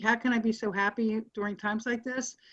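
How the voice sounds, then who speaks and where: Her voice sits fairly high and comes out somewhat breathy, moving at a moderate pace with fairly even intonation. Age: 70s. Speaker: guest's mother. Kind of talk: casual chat.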